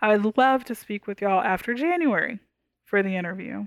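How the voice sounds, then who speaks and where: A woman with an American accent and a normal speaking voice talks at a fairly quick pace with lively intonation. The sound is dry and close with no echo, in a very clean recording against a silent background. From Texas, Houston. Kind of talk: interview conversation.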